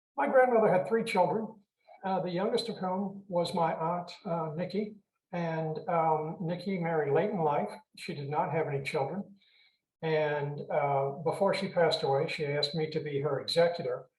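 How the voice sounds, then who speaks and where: Speaking at a moderate pace with an American accent, a man uses a high pitch and ordinary pitch variation. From Richmond, Virginia, US South. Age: 70s. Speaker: author, retired mental health clinician. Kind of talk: interview. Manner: halting with many fillers.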